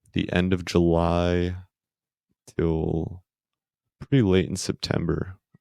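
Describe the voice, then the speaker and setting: A soft-spoken man's very deep, low voice with an American accent, fairly even intonation and a dry, close sound with no echo. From Queens, New York. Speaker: podcast guest, spinal injury survivor. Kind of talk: casual chat. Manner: monotone.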